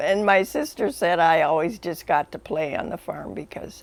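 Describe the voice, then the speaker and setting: A woman with an Upper Midwest accent, speaking at a fairly slow pace with ordinary pitch variation. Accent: Upper Midwest (Minnesota). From northwestern Minnesota. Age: 80s+. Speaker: family elder interviewed. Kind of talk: interview reminiscence. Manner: halting.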